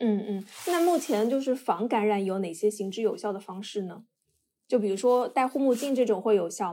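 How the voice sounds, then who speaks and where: A woman's fairly high voice with a dark, mellow tone and lively intonation, at a moderate pace, on a very clean recording with a silent background. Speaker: podcast co-host. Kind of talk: podcast interview.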